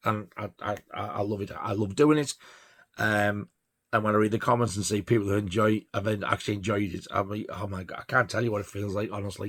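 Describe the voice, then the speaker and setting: In a Yorkshire accent, a man talks at a fairly quick pace with a fairly low pitch and fairly even intonation. The recording is very clean, with a silent background. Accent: northern English (Yorkshire). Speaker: record collector vlogger. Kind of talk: casual monologue. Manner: halting, stuttering; rambling, filler-heavy.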